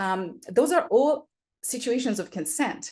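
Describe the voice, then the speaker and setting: In a non-native accent, a woman with a high voice speaks at a moderate pace with very wide pitch swings over a quiet background. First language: not English. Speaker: special education specialist. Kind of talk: interview explanation. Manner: hesitant, many fillers.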